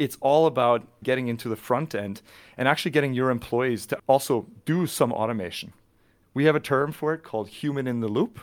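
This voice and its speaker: In a normal speaking voice with a Canadian accent, a man talks at a fairly quick pace and medium pitch with ordinary pitch variation, on a very clean recording with a silent background. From Canada, British Columbia (near Vancouver). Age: 40s. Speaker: tech company channel manager. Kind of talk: podcast interview.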